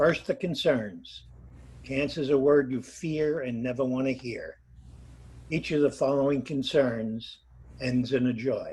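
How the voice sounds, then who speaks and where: A man speaks at a fairly slow pace with long, frequent pauses, his medium-pitched, somewhat breathy voice showing ordinary pitch variation. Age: 80s+. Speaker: congregation member sharing cancer story. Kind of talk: testimony.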